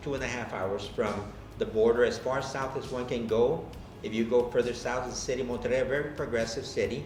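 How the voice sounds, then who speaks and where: A man speaks fairly quickly at a medium pitch, with ordinary pitch variation. Noticeable background noise and audible room echo are present. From Texas, McAllen (Rio Grande Valley). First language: Spanish. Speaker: college president. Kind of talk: interview. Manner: hesitant, with fillers.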